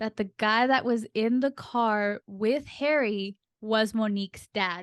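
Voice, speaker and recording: In a dry, close sound with no echo and a quiet background, a woman speaks at a fairly high pitch and a very slow pace. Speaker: podcast co-host. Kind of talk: casual chat about books. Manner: storytelling, building suspense.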